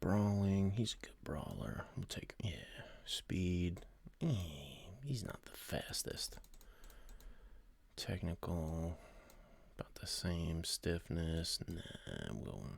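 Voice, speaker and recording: Against a quiet background with dry sound and no echo, a man with a very deep, low pitch talks very slowly, with long, frequent pauses and big swings in loudness. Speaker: streamer playing a wrestling sim game. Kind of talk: casual live-stream commentary. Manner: quiet, talking low.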